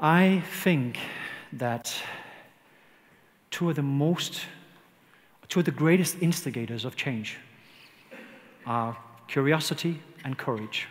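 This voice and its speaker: A man speaks in a fairly high pitch at a fairly slow pace with ordinary pitch variation, long, frequent pauses and audible room echo. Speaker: leadership consultant. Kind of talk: conference talk.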